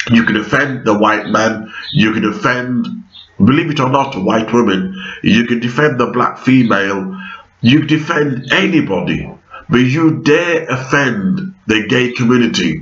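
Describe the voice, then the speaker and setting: Amid noticeable background noise and audible room echo, a man speaks fairly slowly with lively intonation and very even loudness. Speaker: vlogger. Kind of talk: monologue vlog. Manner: halting, many fillers.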